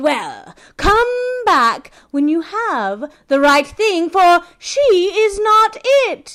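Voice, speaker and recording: This put-on character voice is raised and projected, delivered at a very slow pace. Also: woman, extremely high pitch for a woman. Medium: read story. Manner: sly, teasing.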